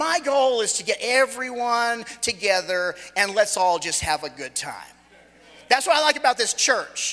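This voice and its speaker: This man's voice sits at an extremely high pitch, raised and projected. He talks at a moderate pace with lively intonation. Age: 40s. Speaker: guest preacher. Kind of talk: sermon. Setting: church.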